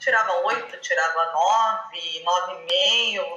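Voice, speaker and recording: A woman speaks in a Minas Gerais accent. Audible room echo and noticeable background noise surround her voice. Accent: mineiro accent, noticeable. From Brazil, southern Minas Gerais (Poços de Caldas). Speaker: physiotherapist, language student. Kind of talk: interview.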